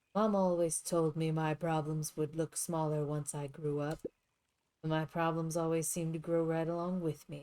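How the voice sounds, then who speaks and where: In a put-on character voice, gruff and at a middle pitch, the speaker holds a monotone, flat delivery at a moderate pace with hardly any pauses. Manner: muttering.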